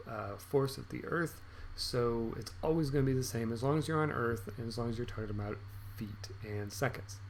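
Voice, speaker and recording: Amid audible room echo, a man talks at a fairly quick pace in a somewhat breathy, medium-pitched voice with ordinary pitch variation. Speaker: math teacher. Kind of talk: video lesson tutorial. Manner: upbeat, encouraging; fast.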